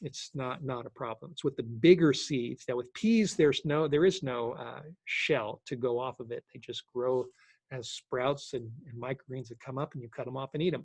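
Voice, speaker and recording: A man speaks at a moderate pace with a fairly high pitch, in a dry, close sound with no echo. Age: 60s. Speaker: sprouting instructor. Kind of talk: Q&A session. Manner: halting.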